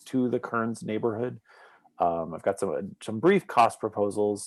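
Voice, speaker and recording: A man at a moderate pace, in a very clean recording with a silent background. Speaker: neighborhood association member. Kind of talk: community meeting presentation.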